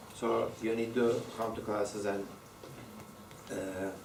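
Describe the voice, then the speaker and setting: A man with a strong non-native accent speaks in a fairly low, monotone, flat voice. Room echo and noticeable background noise are audible. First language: Turkish. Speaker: university lecturer. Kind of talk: lecture. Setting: classroom with students. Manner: halting, many fillers and repetitions.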